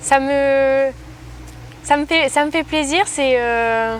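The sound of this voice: A woman speaks in a high voice. Her pace is slow. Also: ordinary pitch variation.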